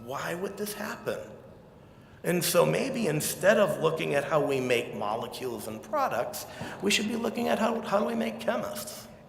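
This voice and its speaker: A man with an American accent speaks at a moderate pace, with audible room echo and noticeable background noise. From Quincy, Massachusetts (south of Boston). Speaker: chemist, keynote speaker. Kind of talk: keynote speech. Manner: animated.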